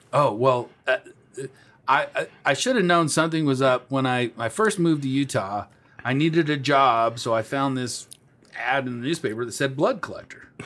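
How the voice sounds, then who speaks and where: Speaking at a moderate pace, the man has an unremarkable speaking voice. It sits fairly high in pitch, with ordinary variation. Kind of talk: casual chat. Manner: loud and playful, joking.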